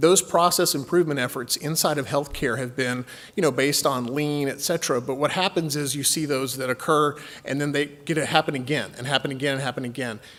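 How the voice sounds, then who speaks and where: With a slight Texan accent, a man speaks at a fairly high pitch. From Texas. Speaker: healthcare company executive. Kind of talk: conference presentation. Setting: stage with audience.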